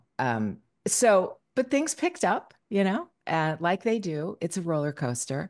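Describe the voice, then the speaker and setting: A woman's fairly low voice at a moderate pace, with very wide pitch swings over a quiet background. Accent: American. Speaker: voice actress. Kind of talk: casual chat. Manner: halting; frequent laughter.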